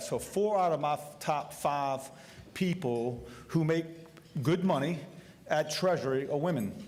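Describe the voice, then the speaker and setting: At a moderate speed, a man talks in an unremarkable speaking voice, his pitch varying in an ordinary way. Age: 60s. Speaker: state treasurer and candidate. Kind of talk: candidate forum speech.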